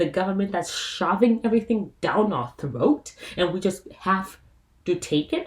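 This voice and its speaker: A woman speaks at medium pitch and a moderate pace. Her tone is animated and somewhat breathy. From South Africa. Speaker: YouTuber. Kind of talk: casual vlog commentary.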